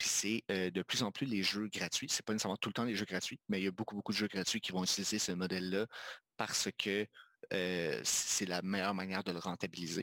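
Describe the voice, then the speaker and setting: With an unremarkable speaking voice, a man talks at a fairly quick pace and fairly low pitch, with very even loudness, in a very clean recording with a silent background. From Quebec, Magdalen Islands. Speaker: video game designer and studio co-founder. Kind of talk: casual interview chat.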